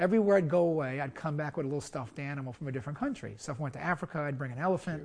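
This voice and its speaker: A man in a New York accent, very fast and somewhat breathy, fairly high in pitch, with ordinary pitch variation. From US, Brooklyn, New York. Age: old. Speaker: surgeon. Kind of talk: interview.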